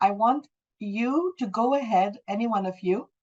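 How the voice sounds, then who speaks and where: A woman's plain, everyday voice with a Canadian accent, ordinary pitch variation and a fairly slow pace. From Calgary, Canada. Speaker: English language teacher. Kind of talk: online class instruction.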